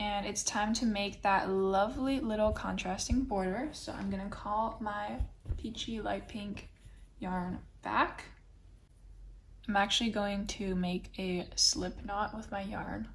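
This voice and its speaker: A somewhat breathy woman speaks at a medium pitch and fairly slow pace with ordinary pitch variation, and audible room echo surrounds her voice. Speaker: crochet instructor. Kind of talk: tutorial. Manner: casual.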